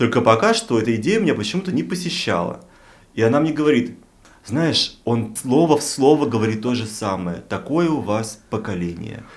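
At a moderate pace, a man speaks in an ordinary speaking voice with a medium pitch and lively intonation. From Russian provinces. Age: 40s. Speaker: podcast co-host. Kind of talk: casual chat.

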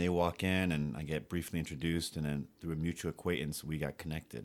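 Over a very clean recording with a silent background, a man with a New York accent speaks at a very fast pace. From New York City. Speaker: futsal organizer. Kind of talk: casual chat.

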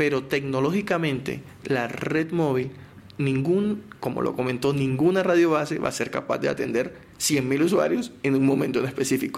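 Over noticeable background noise, a man with a Colombian Caribbean accent speaks at a moderate pace in a fairly high pitch with ordinary pitch variation. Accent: Colombian Caribbean coast. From Colombian Caribbean coast, Barranquilla. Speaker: telecom company spokesperson. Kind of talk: technical interview.

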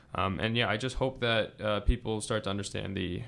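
Fairly even intonation marks a man's fairly low pitch in a plain, everyday voice. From Massachusetts, US. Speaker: graduate policy student. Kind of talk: casual interview.

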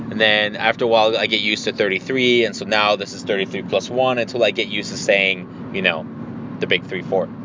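Over noticeable background noise, the speaker moves at a fairly quick pace with fairly even intonation. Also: man, fairly low pitch for a man. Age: 30s. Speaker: podcast host. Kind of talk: casual solo monologue.

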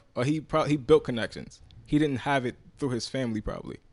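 With a New York accent, a man talks at a fairly quick pace using fairly even intonation. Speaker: podcast co-host. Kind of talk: casual group chat.

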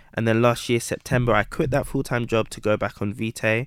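The voice comes in a London accent. The recording is very clean with a silent background, the sound dry and close with no echo. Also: man. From Southeast London (Camberwell/Peckham), British Ghanaian. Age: 20s. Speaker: entrepreneur, watch brand founder. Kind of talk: interview.

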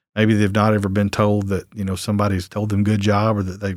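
A man with a Southern US accent at a very fast pace, on a very clean recording with a silent background. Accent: Southern American. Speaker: lawyer running a court diversion program. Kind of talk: casual interview.

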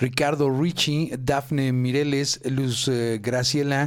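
At a very slow pace, a man with a Mexican accent speaks at a medium pitch. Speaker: radio co-host and technician. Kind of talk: reading listener greetings on live radio. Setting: live internet radio studio.

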